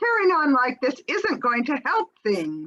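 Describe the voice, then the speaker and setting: A female-sounding put-on character voice, high in pitch, moves at a fairly slow pace with very wide pitch swings. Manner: condescending, bossy.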